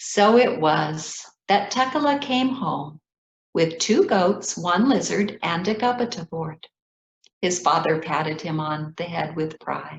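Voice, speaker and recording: With an American accent, a woman speaks at a fairly low pitch and a fairly slow pace, somewhat breathy, with lively intonation. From Ethiopia. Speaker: children's author. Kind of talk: reading aloud.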